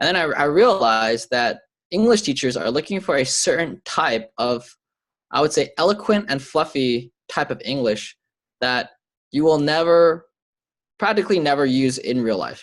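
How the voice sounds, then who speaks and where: Against a quiet background, a man speaks at a moderate pace. His fairly high voice has lively intonation. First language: Chinese (heritage speaker). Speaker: marketing agency owner and content creator. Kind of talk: interview.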